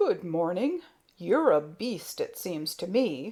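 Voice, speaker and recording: Using a raspy, put-on character voice, a woman speaks at a fairly slow pace and medium pitch. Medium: read story. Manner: blunt, touchy.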